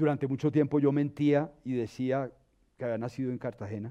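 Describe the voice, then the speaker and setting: A man with a dark, mellow tone speaks fairly quickly at medium pitch, with fairly even intonation, against a quiet background. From Colombia, Bogotá. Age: 60s. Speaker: dancer and arts educator. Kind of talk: interview.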